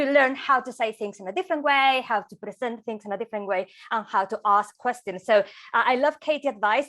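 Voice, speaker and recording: Speaking fairly quickly with a non-native accent, a woman has a fairly high pitch and a bright, sharp tone, with big swings in loudness. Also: ordinary pitch variation. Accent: foreign. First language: not English. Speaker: motorsport presenter. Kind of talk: webinar hosting.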